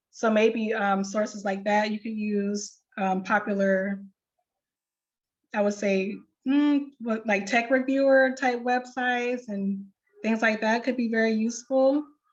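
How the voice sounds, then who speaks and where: Fairly slow, somewhat breathy speech from a woman, fairly high in pitch, with fairly even intonation. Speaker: librarian. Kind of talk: tutorial.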